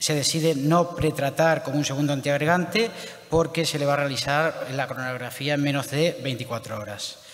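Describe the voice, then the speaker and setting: A man with a plain, everyday voice speaks at a moderate pace and a fairly high pitch, with ordinary pitch variation. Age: young. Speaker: interventional cardiologist. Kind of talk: clinical case presentation. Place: hall.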